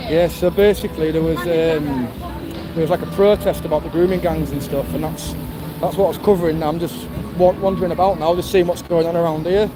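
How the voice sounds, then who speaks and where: Noticeable background noise sits behind a man with a high pitch. He talks at a fairly quick pace with fairly even intonation. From northern England. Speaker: livestreamer filming street events. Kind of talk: casual live-stream commentary. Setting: outdoors in London at a festival.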